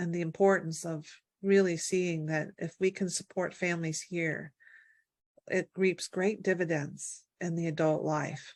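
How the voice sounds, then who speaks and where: In an American accent, a woman with a fairly low pitch speaks slowly and in a flat monotone against a quiet background. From Virginia, US. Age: 60s. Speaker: birth and family health advocate. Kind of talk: interview. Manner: halting, many fillers.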